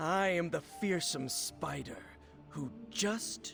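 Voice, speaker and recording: A man performs a put-on character voice at a very slow pace. Clear music sounds in the background. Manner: scary, dramatic.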